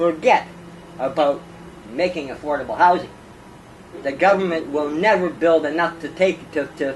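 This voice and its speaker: Music plays in the background as a man speaks at a moderate pace with long, frequent pauses. His pitch is high, with ordinary variation. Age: 60s. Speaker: former homeless man, activist. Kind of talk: interview. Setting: at his home.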